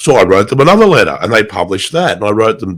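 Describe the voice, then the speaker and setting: The speaker is a man with an Australian accent. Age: 60s. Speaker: writer and motorcyclist. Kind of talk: interview. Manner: halting, repeats words.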